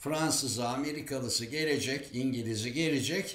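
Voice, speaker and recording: Speaking fairly slowly, a man is heard with audible room echo. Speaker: political commentator. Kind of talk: commentary. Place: home room. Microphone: webcam.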